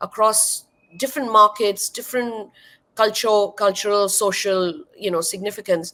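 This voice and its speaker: Speaking at a fairly slow pace, a woman with a Marathi accent has a fairly high pitch. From India (Maharashtra). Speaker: wine educator and content creator. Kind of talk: interview.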